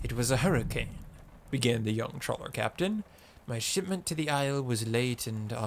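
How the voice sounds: A natural reading voice, its intonation lively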